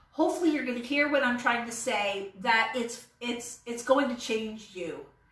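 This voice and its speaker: A woman's high, animated voice with ordinary pitch variation, in audible room echo. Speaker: vlogger reviewing an online business course. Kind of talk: casual monologue to camera. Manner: halting, many fillers.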